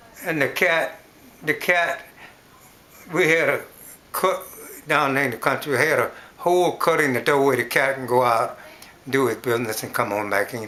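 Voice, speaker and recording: Against noticeable background noise, a man with a fairly high pitch speaks at a moderate pace, with ordinary pitch variation and long, frequent pauses. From US South. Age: 80s+. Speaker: elderly interviewee. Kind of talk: oral history interview. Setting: at home. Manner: halting.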